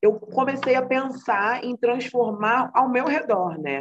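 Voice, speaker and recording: Here a woman talks. Her sound is close and dry, without any echo. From Brazil, Rio de Janeiro (Baixada Fluminense). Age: 20s. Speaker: psychology student and mental health project co-founder. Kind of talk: interview conversation.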